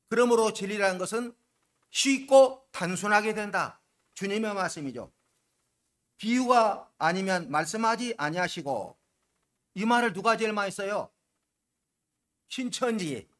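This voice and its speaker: A loud man with a high voice, a fairly slow pace, ordinary pitch variation and long, frequent pauses. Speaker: pastor. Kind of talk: sermon.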